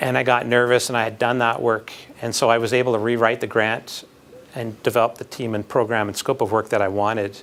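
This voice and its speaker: The speaker is a man with a slight Manitoban accent and a medium pitch. His intonation is fairly even and his pace moderate. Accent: slight Canadian (Manitoban). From Canada, Winnipeg (Manitoba). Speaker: architecture professor, job candidate. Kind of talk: job interview Q&A. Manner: halting, many fillers and repeats.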